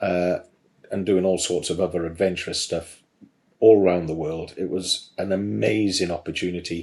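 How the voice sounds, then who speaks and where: This man's voice is very deep and low, with ordinary pitch variation and a slight Welsh accent. He keeps a moderate pace. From South Wales. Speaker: garage business trainer, former mechanic. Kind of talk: podcast interview. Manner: hesitant, many fillers.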